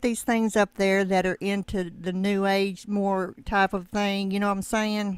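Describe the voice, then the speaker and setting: At a fairly slow pace and medium pitch, a woman speaks on a very clean recording with a silent background. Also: dry, close sound with no echo. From US South. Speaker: YouTube channel host. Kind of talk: interview. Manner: halting.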